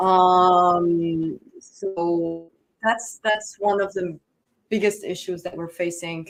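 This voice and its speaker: A woman speaks at a very slow pace in a medium pitch. Her intonation is monotone and flat. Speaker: human rights researcher. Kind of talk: conference panel talk. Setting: conference room with audience, no microphone. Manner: hesitant, many fillers. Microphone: no microphone.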